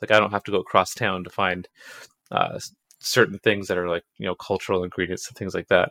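Speaking very fast with a Canadian accent, a man has a bright, sharp tone in a dry, close recording with no echo. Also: very clean recording, silent background. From Canada, Toronto. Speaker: game developer. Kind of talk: casual interview.

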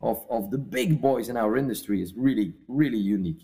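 Music plays in the background as a man speaks at a moderate pace. His pitch is medium and his intonation lively. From Belgium. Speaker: cigar company CEO. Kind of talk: interview conversation. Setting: remote call from father's house.

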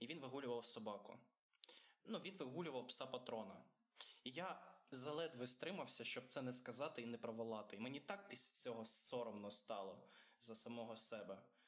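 In a Russian accent, a man talks at a moderate pace. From Ukraine. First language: Russian (speaking Ukrainian). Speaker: podcast co-host. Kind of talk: casual chat.

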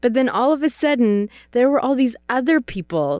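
The intonation is lively as a woman speaks. The recording is very clean with a silent background. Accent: Czech. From Czech Republic. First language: Czech. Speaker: missionary. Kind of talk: casual interview conversation.

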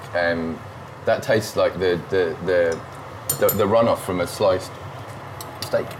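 Speech comes at a fairly slow pace in a British accent, with long, frequent pauses and very even loudness. Noticeable background noise sits under the voice. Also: man. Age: 40s. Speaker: food podcast host. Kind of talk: casual chat. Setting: home kitchen.

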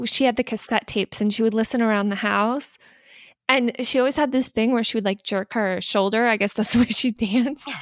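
Fairly high in pitch, a woman talks at a fairly quick pace with fairly even intonation and very even loudness. The recording is very clean and dry, close with no echo, over a silent background. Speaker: podcast host. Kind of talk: casual chat. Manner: interrupts often.

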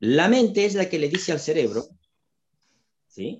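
The voice moves through very wide pitch swings at a fairly slow pace. Vocal fry runs through the speech. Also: man. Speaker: retired psychiatrist and holistic therapist. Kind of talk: interview explaining health topics.

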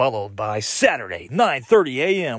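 Recorded very cleanly with a silent background and a dry, close sound with no echo, a man with an American accent speaks at a moderate pace with vocal fry and very wide pitch swings. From Texas, Houston. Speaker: podcast host, army soldier. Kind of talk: casual monologue. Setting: home garage.

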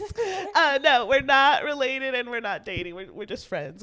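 A woman uses a raised, projected voice at a high pitch, with very wide pitch swings. Noticeable background noise runs underneath. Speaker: comedian. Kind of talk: casual chat.

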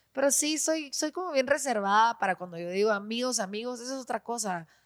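In a very clean recording with a silent background, a woman talks at a fairly high pitch with lively intonation. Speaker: actress and radio presenter. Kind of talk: casual chat. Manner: fast.

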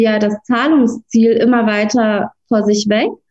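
With a Russian accent, a woman speaks at a fairly slow pace. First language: Russian (speaking German). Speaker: lawyer. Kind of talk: interview.

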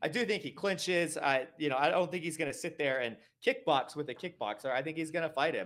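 Fairly quick and lively in intonation, a man with an American accent speaks in a fairly high pitch with an unremarkable speaking voice. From US Northeast, Connecticut. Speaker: MMA betting pundit. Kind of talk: casual chat.

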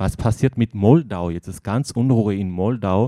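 A man with a non-native accent speaks at a fairly slow pace, with a fairly low pitch, a dark, mellow tone and ordinary pitch variation. The recording is very clean with a silent background and a dry, close sound with no echo. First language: not German (speaking German). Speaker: editor of a book by post-Soviet journalists. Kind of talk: interview. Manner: halting.

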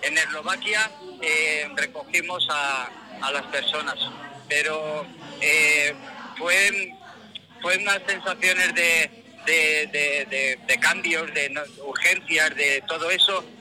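Over noticeable background noise, a man with a high pitch speaks at a very slow pace, leaving long, frequent pauses, with ordinary pitch variation. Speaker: aid convoy driver. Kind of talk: phone interview.

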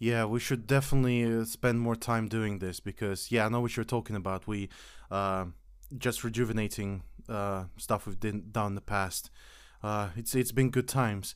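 In a non-native accent, a man talks at a moderate pace with fairly low pitch and fairly even intonation, recorded very cleanly against a silent background. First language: not English. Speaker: podcast host. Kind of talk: casual chat.

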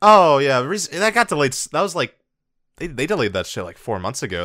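With vocal fry and a bright, sharp tone, a man talks at a very fast pace and fairly high pitch, his pitch swinging very widely on a very clean recording with a silent background. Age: 20s. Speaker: anime podcast host. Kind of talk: casual chat.

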